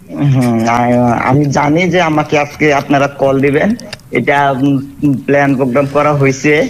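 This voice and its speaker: With light background noise behind him, a man uses a plain, everyday voice, fairly high in pitch and fairly even in intonation. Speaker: bird seller being prank called. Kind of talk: phone call answers, casual conversation.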